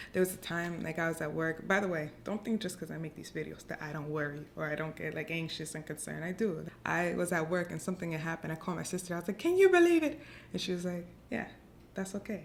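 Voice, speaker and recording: Very fast and fairly low-pitched, a woman talks with vocal fry and fairly even intonation. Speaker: lifestyle vlogger. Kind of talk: casual advice talk to camera.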